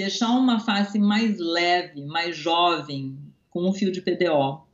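A woman with a plain, everyday voice at a fairly slow pace, her intonation lively. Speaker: dentist. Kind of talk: interview.

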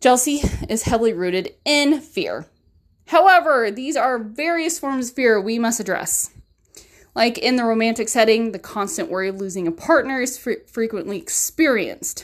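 The recording is very clean, with a silent background. A woman's fairly high voice moves with lively intonation. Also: moderate pace. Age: 30s. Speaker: podcast host. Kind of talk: casual monologue about a self-help book. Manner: casual, with fillers and laughs.

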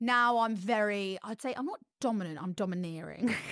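A woman at a moderate pace in a very clean recording with a silent background. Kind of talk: casual chat.

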